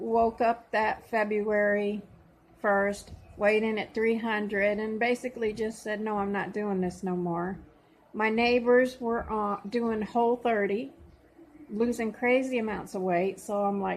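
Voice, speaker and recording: A woman at a fairly slow pace, in a monotone, flat intonation. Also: fairly high pitch for a woman. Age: 60s. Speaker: vlogger documenting weight loss. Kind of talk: personal vlog testimony. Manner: casual with frequent fillers.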